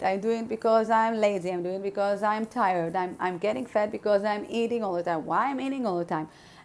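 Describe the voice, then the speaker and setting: A woman speaks with a non-native accent. Her pitch is fairly high. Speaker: spiritual podcaster. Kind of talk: podcast monologue. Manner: halting, many fillers.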